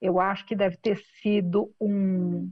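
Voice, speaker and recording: Speaking at a medium pitch with fairly even intonation, this woman has an ordinary speaking voice. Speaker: business executive and founder. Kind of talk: interview.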